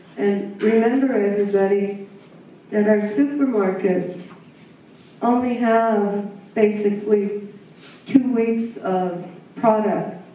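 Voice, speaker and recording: A woman speaks very slowly with fairly even intonation and long, frequent pauses, her voice carrying audible room echo. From Taos Pueblo, New Mexico; New Mexico. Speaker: Native farmer and educator; panelist. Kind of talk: symposium talk. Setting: symposium audience. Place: hall.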